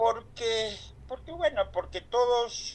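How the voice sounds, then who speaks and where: A man speaks in a high voice. His pace is very slow. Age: 70s. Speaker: LGBT activist speaker. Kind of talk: online talk. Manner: halting.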